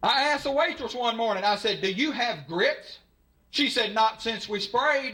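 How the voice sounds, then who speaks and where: A man with a Southern US accent projects a raised voice at an extremely high pitch. His tone is bright and sharp, with ordinary pitch variation. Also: moderate pace. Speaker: stand-up comedian. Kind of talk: live stand-up comedy set. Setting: live audience.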